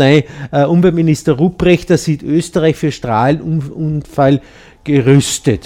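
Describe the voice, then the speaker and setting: At a moderate pace, a man speaks with a dark, mellow tone, a fairly high pitch and ordinary pitch variation. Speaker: community radio host. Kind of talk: casual radio show talk. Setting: radio studio.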